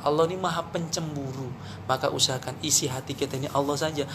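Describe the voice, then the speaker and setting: With a Javanese accent, a man speaks in an animated tone at a very fast pace over noticeable background noise. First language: Javanese (speaking Indonesian). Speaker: Islamic preacher. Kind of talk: religious talk.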